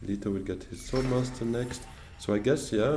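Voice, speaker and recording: Music plays and the room echoes as a man with a French accent talks fairly quickly at a medium pitch with fairly even intonation. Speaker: board game streamer. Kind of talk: gameplay commentary. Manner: thinking aloud with hesitations.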